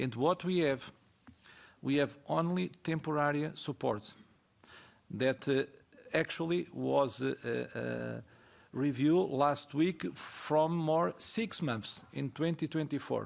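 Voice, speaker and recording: Very slowly and with long, frequent pauses, a man with a fairly high pitch talks, his pitch varying in an ordinary way. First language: not English. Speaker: ceramic industry representative. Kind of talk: panel discussion. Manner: halting.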